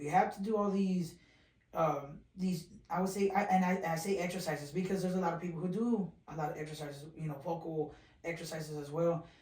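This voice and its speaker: Amid audible room echo, a man with an American accent and a high voice talks at a moderate pace with fairly even intonation. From South Texas (small town near San Antonio). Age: young. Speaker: radio DJ and social media influencer. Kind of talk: casual interview chat.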